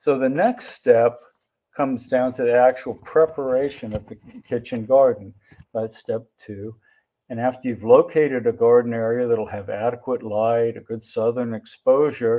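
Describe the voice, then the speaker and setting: In a plain, everyday voice, a man talks at a medium pitch and a moderate pace. His intonation is fairly even, with big swings in loudness. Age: 60s. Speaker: family practice doctor. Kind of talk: symposium presentation.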